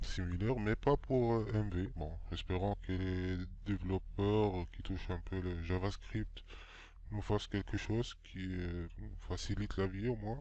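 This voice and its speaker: A man talks at a very slow pace, and audible room echo follows his words. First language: not French (speaking French). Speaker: game development tutorial maker. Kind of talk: tutorial. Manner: halting, many hesitations.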